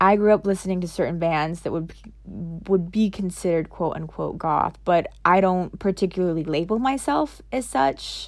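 A woman speaks in a normal speaking voice at a fairly low pitch and a moderate pace, with hardly any pauses, on a very clean recording with a silent background. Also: ordinary pitch variation. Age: 30s. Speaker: podcast host. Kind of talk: solo monologue. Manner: casual, with filler words.

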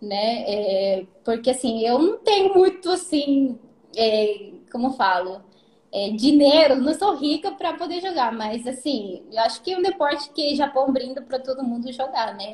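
Her pitch is high and swings very widely. The woman speaks with a Spanish accent at a fairly slow pace. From Peru. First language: Spanish (speaking Portuguese). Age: 20s. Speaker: golf caddie. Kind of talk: casual live-stream interview. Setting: Instagram live stream.

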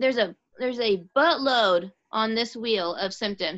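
A woman with an unremarkable speaking voice talks at a medium pitch with lively intonation. The background is quiet. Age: 30s. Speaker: podcast guest. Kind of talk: casual chat.

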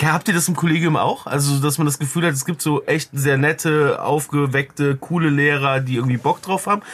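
A man speaks at a fairly quick pace with hardly any pauses, in an unremarkable speaking voice. His pitch is fairly high and his intonation fairly even. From Cologne, Germany. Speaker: media producer and podcaster. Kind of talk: casual chat.

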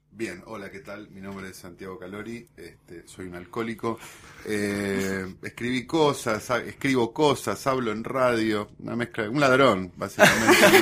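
Speaking slowly in a normal speaking voice, a man has a fairly low pitch with ordinary pitch variation. His loudness swings widely. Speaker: writer and guest. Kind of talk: casual chat.

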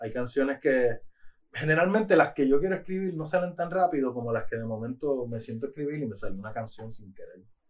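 This is a plain, everyday voice of a man. His pitch sits fairly high and his intonation is lively. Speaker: rapper. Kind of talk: casual chat. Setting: studio.

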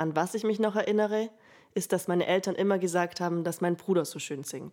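At a fairly quick pace, a woman with a plain, everyday voice talks at medium pitch with ordinary pitch variation. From Allgäu, southern Germany (Bavaria). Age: 20s. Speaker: student podcaster. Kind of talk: personal storytelling monologue.

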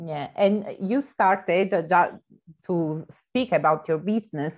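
At a very slow pace, a woman with an Italian accent talks with ordinary pitch variation. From southern Italy. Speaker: podcast host. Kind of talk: casual interview.

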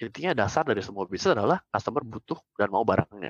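Over a dry, close sound with no echo, a man at a medium pitch talks at a very fast pace with lively intonation. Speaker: startup founder and CEO. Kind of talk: casual interview.

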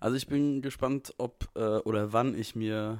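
A man speaks in an ordinary speaking voice at a medium pitch, with fairly even intonation. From Frankfurt, Hesse. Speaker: podcast co-host. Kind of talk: casual chat. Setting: video call from home.

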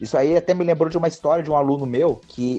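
A male voice is heard. The words come very fast. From southern Brazil, Joinville, Santa Catarina. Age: 20s. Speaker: MMA fighter. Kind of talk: casual interview chat.

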